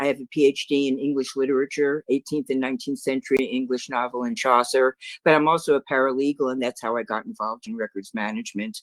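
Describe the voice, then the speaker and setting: The speaker has a New York accent. The pace is very fast. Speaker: records management consultant. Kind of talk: webinar presentation.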